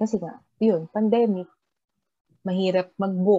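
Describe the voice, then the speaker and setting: With a dark, mellow tone, the woman talks at a medium pitch. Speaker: podcast co-host. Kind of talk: casual chat.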